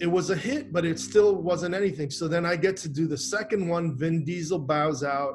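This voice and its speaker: Over light background noise, a man with an American accent talks at a moderate pace with hardly any pauses, using a high pitch and ordinary pitch variation. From Miami, Florida. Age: 50s. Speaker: actor. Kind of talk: interview. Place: home room. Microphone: webcam.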